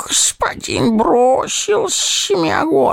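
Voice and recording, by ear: This is someone reading aloud. They do so in a natural voice.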